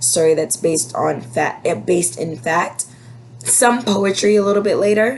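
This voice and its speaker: A woman's fairly slow speech with very wide pitch swings, set against noticeable background noise. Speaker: elementary school teacher. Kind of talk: class update video for parents. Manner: casual, filler words.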